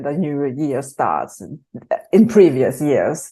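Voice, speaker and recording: A woman with a German accent. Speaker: creative workshop team member. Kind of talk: casual chat. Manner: hesitant, many ums.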